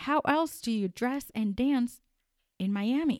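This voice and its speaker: A woman speaks in an animated tone with ordinary pitch variation. The recording is very clean, with a silent background and a dry, close sound with no echo. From Colombia. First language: Spanish. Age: 30s. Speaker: podcast host. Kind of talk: unscripted solo commentary. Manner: halting, many fillers.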